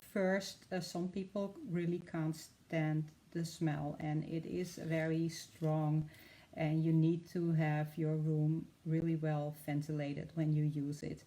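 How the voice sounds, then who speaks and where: Very slow, monotone, flat delivery from a woman with a Dutch accent, very deep, low pitch and a dark, mellow tone. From Netherlands. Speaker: art demonstrator. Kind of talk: live tutorial. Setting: live stream. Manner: hesitant, many fillers.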